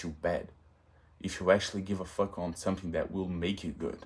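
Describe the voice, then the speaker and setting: A man's fairly low voice with a Portuguese accent, at a moderate pace. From Brazil. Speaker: vlogger. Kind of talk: casual monologue vlog. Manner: halting, self-correcting.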